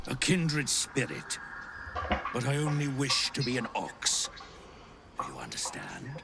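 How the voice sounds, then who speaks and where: A man puts on a character voice at a fairly high pitch, leaving long, frequent pauses. Background noise is clearly audible. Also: moderate pace. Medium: video game. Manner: calm, unhurried.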